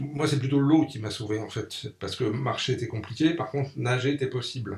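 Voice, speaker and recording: With a somewhat breathy voice and pitch that varies in an ordinary way, a man delivers his words at a moderate pace. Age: 60s. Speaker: magazine publisher and NGO founder. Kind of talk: radio interview. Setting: radio studio.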